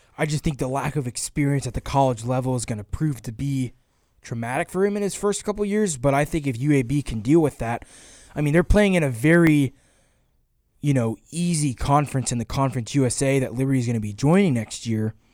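Fairly quick and fairly high, a man talks with an American accent in an ordinary speaking voice, with ordinary pitch variation. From US South, Georgia. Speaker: sports podcast host. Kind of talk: casual chat.

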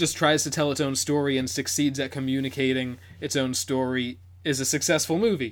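A man with an ordinary speaking voice talks at a fairly high pitch. His pace is fairly quick. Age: 20s. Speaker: podcast co-host. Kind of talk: casual chat.

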